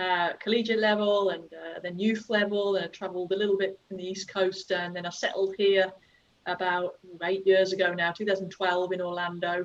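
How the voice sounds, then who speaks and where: A woman in an English accent, with flat, monotone intonation. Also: medium pitch for a woman, moderate pace. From England, Worcestershire (West Midlands). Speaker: youth soccer coach. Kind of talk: casual chat.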